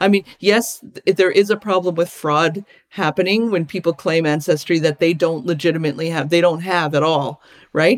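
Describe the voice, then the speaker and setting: In a normal speaking voice, a woman with a Canadian accent talks at a moderate pace with a fairly low pitch and ordinary pitch variation, recorded dry and close with no echo. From Alberta, Canada. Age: 50s. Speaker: visual artist and activist. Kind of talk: interview conversation.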